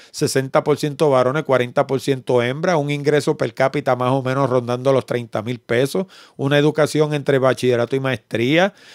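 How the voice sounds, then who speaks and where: Ordinary pitch variation and a fairly slow pace in a Puerto Rican accent, over a quiet background. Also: man, dry sound with no echo. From Puerto Rico. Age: 60s. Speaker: podcast host. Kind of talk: casual interview. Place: home room. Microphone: studio mic.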